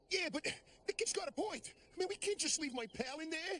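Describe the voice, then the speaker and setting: In a cartoonish character voice with an extremely high pitch, the speaker moves at a fairly quick pace. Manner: wisecracking, fast.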